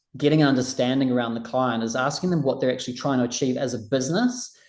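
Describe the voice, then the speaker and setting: In a plain, everyday voice, a man speaks with medium pitch and fairly even intonation. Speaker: recruitment trainer. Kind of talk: online training session.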